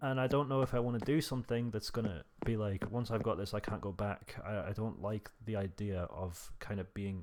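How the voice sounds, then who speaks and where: A man with a British accent speaks quietly at a moderate pace. His pitch is fairly low and his intonation fairly even. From Britain. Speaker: gaming YouTuber. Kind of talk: relaxed gameplay monologue. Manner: naturally loud; trying to talk quietly.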